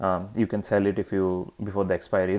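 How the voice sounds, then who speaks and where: The man's voice sits at a fairly low pitch. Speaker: options trading teacher. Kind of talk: lecture. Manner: halting, many fillers.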